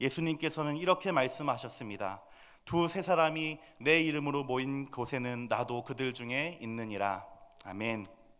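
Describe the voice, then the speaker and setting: A man speaks at a moderate pace in a fairly high voice, his intonation lively, with audible room echo. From Seoul, South Korea. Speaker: pastor. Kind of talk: sermon. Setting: church.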